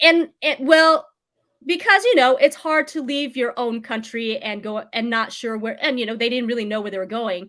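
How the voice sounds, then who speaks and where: A high-pitched woman's voice with a General American accent, a bright, sharp tone, lively intonation and big swings in loudness, in a very clean recording with a silent background. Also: moderate pace. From United States. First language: Vietnamese. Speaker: real estate agent. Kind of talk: interview. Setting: livestream.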